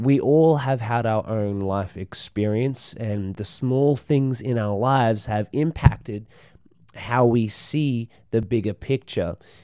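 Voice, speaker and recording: In an Australian accent, a man speaks very slowly at a medium pitch with a dark, mellow tone and ordinary pitch variation. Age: 20s. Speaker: podcast host and snake catcher. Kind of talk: casual solo monologue. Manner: halting, many fillers.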